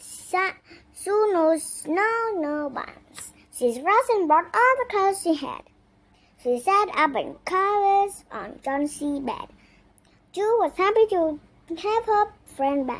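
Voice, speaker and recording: A woman puts on a squeaky character voice at an extremely high pitch. Her pitch swings very widely, and she talks at a fairly slow pace. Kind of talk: simple storytelling narration. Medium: read story. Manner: earnest, halting, careful.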